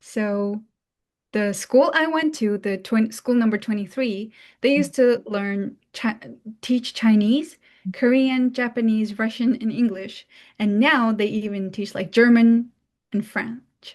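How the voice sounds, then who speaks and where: A fairly high, somewhat breathy female voice with a Mongolian accent, at a fairly slow pace with ordinary pitch variation, against a quiet background. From Mongolia, Ulaanbaatar. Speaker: international student. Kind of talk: talk. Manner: casual, many fillers.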